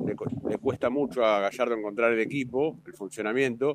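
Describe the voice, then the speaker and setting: A man with a Rioplatense accent speaks with ordinary pitch variation. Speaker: football commentator. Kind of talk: casual radio analysis.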